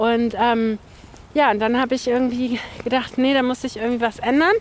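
At a fairly quick pace, a woman with a high pitch speaks over noticeable background noise. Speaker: former classmate, civil servant and mother. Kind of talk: casual chat.

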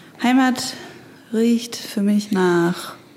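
With noticeable background noise behind her, a woman talks at a very slow pace, using a medium pitch and ordinary pitch variation. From Stuttgart, southwest Germany. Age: 20s. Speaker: author and graphic designer. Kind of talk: casual conversation. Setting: separate rooms, connected via headphones.

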